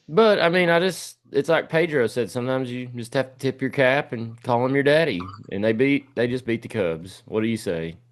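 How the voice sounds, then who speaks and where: With a Tennessee accent, a man speaks at a fairly quick pace and medium pitch, with lively intonation, hardly any pauses and a quiet background. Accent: US Southern (Tennessee). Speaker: sports podcast host. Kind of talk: casual sports talk.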